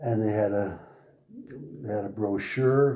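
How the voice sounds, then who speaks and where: There is audible room echo around a man's medium-pitched, somewhat breathy voice. His tone is dark and mellow, with fairly even intonation. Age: 80s+. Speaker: car owner. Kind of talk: interview. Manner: halting.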